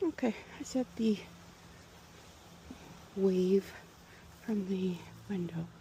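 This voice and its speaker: A soft-spoken woman at a medium pitch talks very slowly with lively intonation over noticeable background noise. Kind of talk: ASMR garden vlog, thinking out loud.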